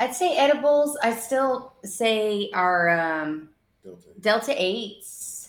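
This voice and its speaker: Very slowly, a woman speaks with an American accent. Her pitch swings very widely. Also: fairly high pitch for a woman. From Texas, East Austin. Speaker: cannabis store owner. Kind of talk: interview.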